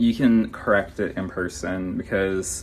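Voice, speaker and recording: Speaking at a fairly slow pace, a man has a fairly low pitch. His is a plain, everyday voice. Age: 30s. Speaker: vlogger. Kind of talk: casual vlog talk. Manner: casual, filler-heavy.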